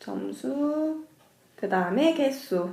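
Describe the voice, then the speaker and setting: Speech comes at a very slow pace with audible room echo. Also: woman. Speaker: middle school math teacher. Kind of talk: lecture. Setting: cram school lesson recording.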